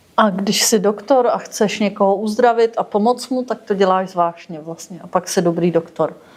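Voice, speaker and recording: A woman of medium pitch at a moderate pace, hardly any pauses, and noticeable background noise. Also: ordinary pitch variation. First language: Czech. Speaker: interpreter. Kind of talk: interpreting.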